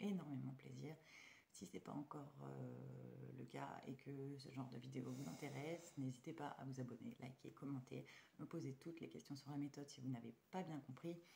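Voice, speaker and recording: Speaking at a moderate pace, a woman has a very deep, low pitch, ordinary pitch variation, a dark, mellow tone and vocal fry. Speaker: budgeting vlogger. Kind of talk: casual vlog. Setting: at home at night. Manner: hesitant, many fillers.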